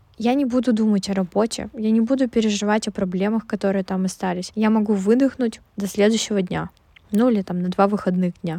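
A woman's dark, mellow voice at a medium pitch, fairly quick and fairly even in intonation. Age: 20s. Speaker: podcast host. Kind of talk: casual monologue. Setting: recording in a closet.

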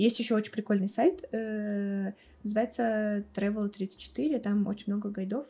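Somewhat breathy and fairly high-pitched, the woman's voice has a dark, mellow tone. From Russia, Tambov region village. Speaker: marketing special projects manager. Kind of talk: casual chat.

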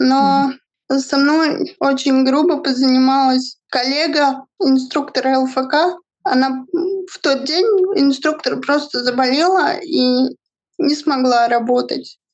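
Speaking at a very slow pace, a woman holds a high pitch and very even loudness. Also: fairly even intonation. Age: 20s. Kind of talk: interview testimony.

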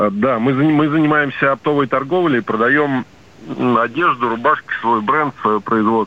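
A man with a plain, everyday voice speaks at a medium pitch and a fairly slow pace. His pitch varies in an ordinary way, and his loudness stays very even. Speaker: caller, small business owner. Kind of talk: phone-in question. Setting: phone call.

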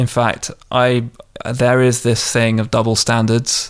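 Speaking in a London accent, a man keeps a medium pitch with monotone, flat intonation. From southwest London, England. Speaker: entrepreneur. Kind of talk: interview.

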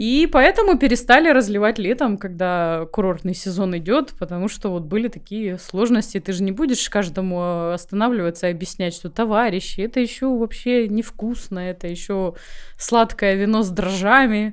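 At a moderate pace and with ordinary pitch variation, this is an ordinary speaking voice. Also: woman, medium pitch for a woman. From Crimea. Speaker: winemaker. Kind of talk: interview.

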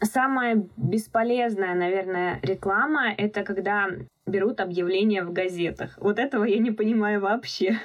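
The speaker has a plain, everyday voice. The pace is moderate and the pitch varies in an ordinary way. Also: woman, medium pitch for a woman. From Russia, Moscow region. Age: young. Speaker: nail studio owner and instructor. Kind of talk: interview.

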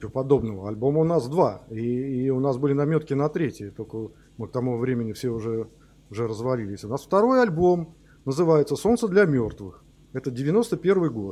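A man with a plain, everyday voice and medium pitch speaks at a moderate pace against a quiet background. His intonation is lively. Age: 50s. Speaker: rock musician, band founder. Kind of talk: interview.

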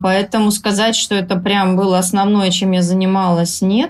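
A woman talks at a moderate pace in medium pitch. It is an ordinary speaking voice with fairly even intonation. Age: 40s. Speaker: blogger and writer. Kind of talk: podcast interview.

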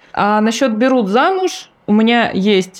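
A woman talks over noticeable background noise. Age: 30s. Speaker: podcast co-host. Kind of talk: casual chat.

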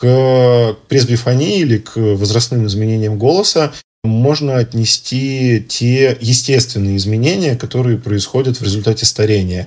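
Here a man with an ordinary speaking voice speaks at a fairly slow pace, using a medium pitch and ordinary pitch variation. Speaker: ENT doctor. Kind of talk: expert interview.

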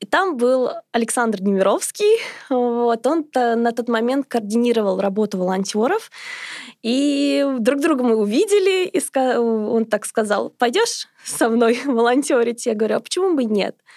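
A high-pitched woman's voice at a fairly slow pace, with very even loudness. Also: lively intonation. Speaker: charity volunteer coordinator. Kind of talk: interview.

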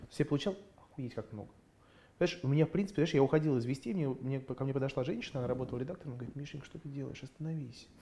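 A man with a dark, mellow, somewhat breathy tone, a very fast pace and big swings in loudness. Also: fairly high pitch for a man, ordinary pitch variation. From Russia (Moscow), grew up in USSR. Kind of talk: casual interview chat. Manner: animated.

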